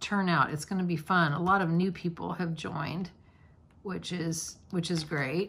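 On a very clean recording with a silent background, somewhat breathy speech moves at a moderate pace with fairly even intonation. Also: woman. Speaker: diamond painting YouTuber. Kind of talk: casual crafting chat. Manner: casual, filler-heavy.

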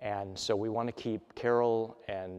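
Over a quiet background, a man speaks in a fairly low pitch with ordinary pitch variation. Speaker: minister. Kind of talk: church announcements. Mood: warm, calm, pastoral. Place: church.

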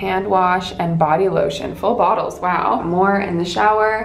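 A woman at a fairly slow pace with fairly even intonation, audible room echo and light background noise. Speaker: travel vlogger. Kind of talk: casual vlog chat. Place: home room. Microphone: phone near.

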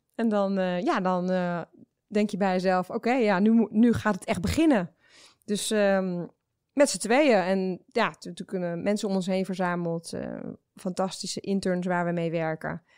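At a fairly slow pace, a woman speaks at medium pitch with ordinary pitch variation in a very clean recording with a silent background. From Netherlands. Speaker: startup founder. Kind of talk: interview. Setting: studio. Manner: hesitant, many filler sounds.

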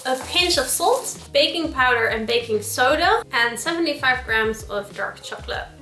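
In a room with audible echo and faint background music, a woman talks at a moderate pace in a high pitch. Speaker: home cook vlogger. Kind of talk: casual vlog chat. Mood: playful, self-deprecating. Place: kitchen. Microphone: camera far.

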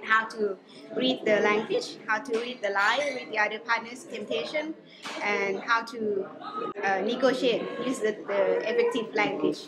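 Moderately paced speech from a woman, with loud background noise. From Laos. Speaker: climate negotiator. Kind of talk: interview answer. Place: meeting room.

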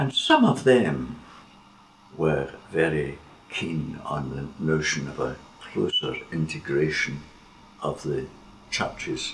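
A man speaks at a very slow pace with long, frequent pauses and big swings in loudness. Light background noise can be heard. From Scotland. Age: 80s+. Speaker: theologian. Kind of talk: interview. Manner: reflective, occasionally laughing. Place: home room.

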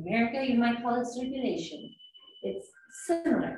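Light background noise and audible room echo accompany the recording. A woman talks at a moderate pace. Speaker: qigong instructor. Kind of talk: guided exercise instruction. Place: home room. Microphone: camera far.

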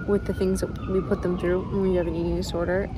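A woman talks at a moderate pace. The sound is dry with no echo, and there is noticeable background noise. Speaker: vlogger. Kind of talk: casual vlog chat. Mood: earnest, reflective, personal. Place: forest. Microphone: phone near.

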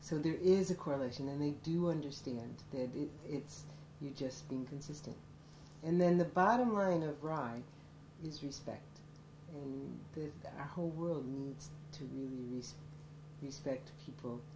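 A woman with an American accent talks at a fairly slow pace in a very deep, low voice with ordinary pitch variation, leaving long, frequent pauses. Audible room echo surrounds her. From upstate New York, Syracuse. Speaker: college professor. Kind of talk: documentary interview.

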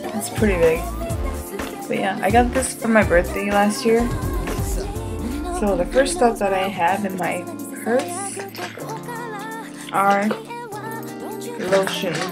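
Clear music runs in the background. Over it, a woman talks very slowly. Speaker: restaurant worker. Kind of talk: casual talk to camera. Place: home room. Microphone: webcam.

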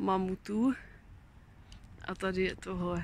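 A woman's very slow speech in a dry sound with no echo. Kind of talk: casual vlog chat. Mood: playful, amused. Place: garden. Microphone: phone near.

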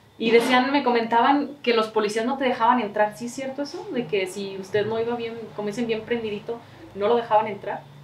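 Light background noise and audible room echo surround a woman who talks at a fairly quick pace and fairly high pitch with fairly even intonation. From Mexico, Jalisco (San Miguel el Alto). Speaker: local video interviewer. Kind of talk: interview; channel outro. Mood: friendly, relaxed. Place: home room. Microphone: camera far.

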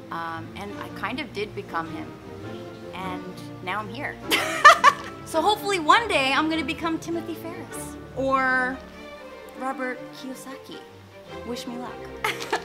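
With clear music in the background, a woman speaks at a fairly slow pace, taking long, frequent pauses. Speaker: vlogger. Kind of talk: casual vlog chat. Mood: playful, animated. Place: garden. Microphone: phone near.

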